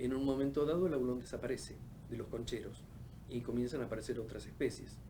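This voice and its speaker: With vocal fry and a dark, mellow tone, a man speaks at a fairly quick pace and medium pitch, his intonation fairly even, amid audible room echo. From Argentina, Patagonia (Caleta Olivia, Santa Cruz). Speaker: oceanographer. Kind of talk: interview. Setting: studio. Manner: halting, many fillers.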